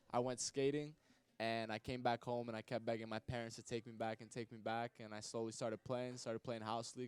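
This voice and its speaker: A man with a slight New York accent talks at a very fast pace in a medium pitch, the sound dry and close with no echo. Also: monotone, flat intonation. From Long Island, New York (Hewlett). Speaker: hockey player. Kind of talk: interview. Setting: live show at a restaurant.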